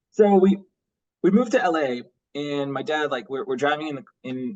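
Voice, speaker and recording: This man has a fairly high voice with very wide pitch swings. He talks at a moderate pace. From Bosnia, then Los Angeles from about age nine. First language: Bosnian. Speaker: graphic novel artist and writer. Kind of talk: casual podcast interview. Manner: casual, halting with many repetitions and fillers.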